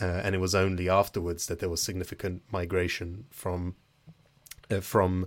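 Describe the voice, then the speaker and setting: A man with a British accent speaks at a moderate pace in a very deep, low pitch. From Britain. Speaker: podcast host. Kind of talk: interview; casual chat.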